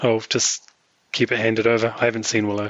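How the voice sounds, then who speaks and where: This man speaks at a fairly quick pace. His pitch is medium. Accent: American. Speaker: podcast co-host. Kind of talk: casual chat.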